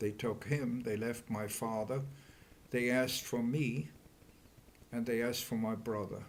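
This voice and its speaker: A man's medium-pitched voice with a German accent and audible room echo. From Germany. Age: 80s+. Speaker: Holocaust survivor. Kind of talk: oral history interview. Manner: halting.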